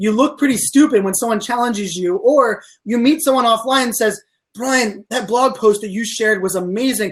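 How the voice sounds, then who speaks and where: Recorded very cleanly against a silent background, a man speaks at an extremely high pitch with ordinary pitch variation. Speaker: social media speaker. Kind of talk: interview. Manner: fast; animated.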